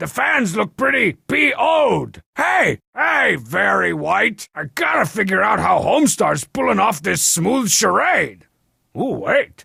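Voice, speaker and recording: A man's high-pitched, cartoonish character voice, raised and projected, at a fairly slow pace. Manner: sarcastic, brash.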